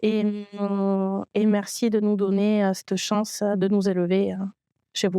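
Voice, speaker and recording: Very slowly, a woman speaks in a dark, mellow tone. The recording is very clean with a silent background, and the sound is dry and close with no echo. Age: 30s. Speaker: trainee in IT training program. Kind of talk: testimony. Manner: halting, many hesitations.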